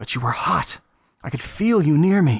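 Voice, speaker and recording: Here is a put-on character voice at a middle pitch. It moves at a moderate pace. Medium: read story.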